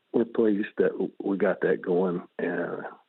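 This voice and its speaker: Speaking at a fairly slow pace, a man talks with an Arkansas accent. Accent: Southern US (Arkansas). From US South. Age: 70s. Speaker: retired banker and fundraiser treasurer. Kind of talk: radio interview. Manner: halting, many fillers.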